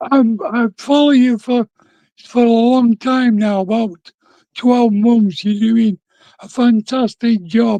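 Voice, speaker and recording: With an English accent, a man with an extremely high pitch and a dark, mellow tone speaks very slowly with fairly even intonation and big swings in loudness, captured dry and close with no echo. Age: 60s. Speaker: viewer calling in. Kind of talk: casual chat.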